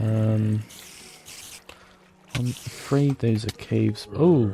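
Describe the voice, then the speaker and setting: Over music in the background, a man talks at a fairly low pitch with ordinary pitch variation. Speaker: gaming video creator. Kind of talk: gameplay commentary. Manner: halting, many fillers.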